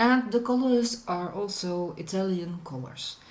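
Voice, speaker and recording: A woman speaks with a Dutch accent at a medium pitch. Her intonation is lively, and there is audible room echo. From Netherlands. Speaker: food reviewer. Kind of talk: product review vlog. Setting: outdoors on a balcony. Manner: hesitant, many fillers.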